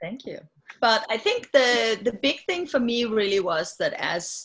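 This woman speaks with a Danish accent. Her pace is moderate. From Denmark. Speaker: health tech CEO. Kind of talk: interview. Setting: video call.

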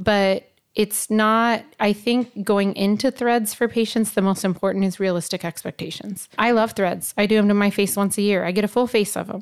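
In a very clean recording with a silent background, a woman speaks at a moderate pace and medium pitch with hardly any pauses and a monotone, flat intonation. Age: 40s. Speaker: aesthetics injector. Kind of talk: casual chat.

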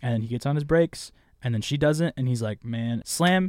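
The voice has a dark, mellow tone with an American accent. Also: man. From Southern California, Riverside County. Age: young. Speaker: podcast co-host. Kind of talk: casual chat.

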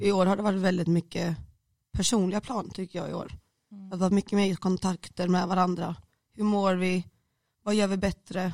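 Speaking at a moderate pace, a woman with a medium pitch uses monotone, flat intonation with big swings in loudness, in a dry, close sound with no echo. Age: 20s. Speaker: student. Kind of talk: casual chat. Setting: studio.

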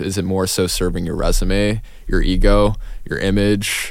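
A man at a moderate pace with little pitch movement

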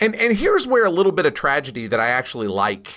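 A man's bright, sharp voice with vocal fry, very wide pitch swings and a fairly quick pace, in a very clean recording with a silent background. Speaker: podcast host and comics expert. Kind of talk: casual podcast discussion.

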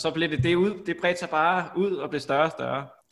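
In a very clean recording with a silent background, a man speaks at a fairly quick pace in a bright, sharp tone. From Denmark, Copenhagen. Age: 30s. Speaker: podcast host. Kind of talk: casual chat. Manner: halting, many fillers.

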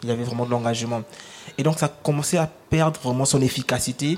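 Talking at a fairly quick pace, a man has an unremarkable speaking voice with medium pitch and fairly even intonation. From Republic of the Congo. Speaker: rapper. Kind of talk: panel discussion. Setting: live public broadcast in a restaurant.

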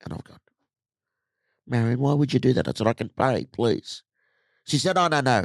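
An animated man's medium-pitched voice in an Australian accent, with ordinary pitch variation, vocal fry, a moderate pace, big swings in loudness, and a dry, close sound with no echo. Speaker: motivational speaker. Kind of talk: casual chat.

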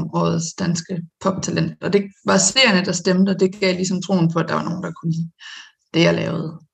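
A woman's fairly low voice holds a fairly even intonation. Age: 20s. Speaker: singer-songwriter and lawyer. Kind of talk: casual interview. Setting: video call.

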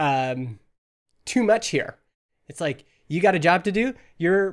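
A man with a high pitch and a Western Canadian accent at a moderate pace, on a very clean recording with a silent background. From Canada (Alberta). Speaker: entrepreneur. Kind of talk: casual chat.

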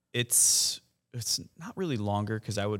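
A man with an American accent, recorded with a dry, close sound with no echo, very clean against a silent background. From Huntsville, Alabama, US South. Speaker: concert lighting and video crew chief. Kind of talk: casual chat.

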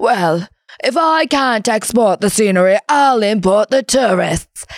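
A female-sounding put-on character voice speaks at a fairly slow pace. Its pitch is fairly high. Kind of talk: upper-class, formal.

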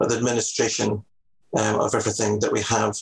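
A man with a Scottish accent at a very fast pace. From Scotland, Edinburgh. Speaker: salon business manager. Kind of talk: interview.

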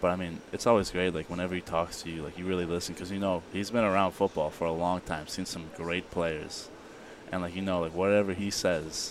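A fairly quick pace in an American accent. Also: man. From Illinois, US Midwest. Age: young. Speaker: college football player. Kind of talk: interview. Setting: media day event. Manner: animated.

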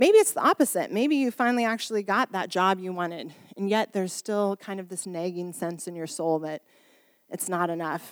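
A woman's ordinary speaking voice at a medium pitch, ordinary pitch variation, a fairly quick pace, and a dry, close sound with no echo in a very clean recording with a silent background. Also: big swings in loudness. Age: 40s. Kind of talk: sermon. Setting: church service. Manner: informal, warm, humorous.

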